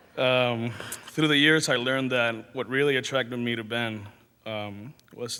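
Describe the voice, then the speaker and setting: Speaking at a fairly slow pace, a man holds a medium pitch with monotone, flat intonation. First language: not English. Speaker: friend giving eulogy. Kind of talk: memorial speech read from notes. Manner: halting.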